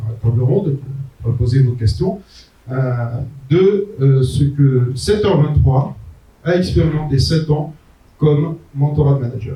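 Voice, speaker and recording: Pausing long and often, a man speaks at a fairly slow pace in a fairly high voice with ordinary pitch variation, with audible room echo around him. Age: 60s. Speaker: entrepreneur and management consultant giving a talk. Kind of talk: conference talk. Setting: conference venue with audience. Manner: hesitant, frequent euh.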